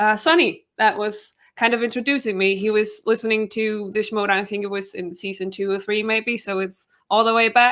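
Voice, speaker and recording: A woman speaks with a Danish accent in a fairly high pitch with ordinary variation. The recording is very clean, with a silent background. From Denmark. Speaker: YouTuber and trivia competitor. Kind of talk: interview self-introduction.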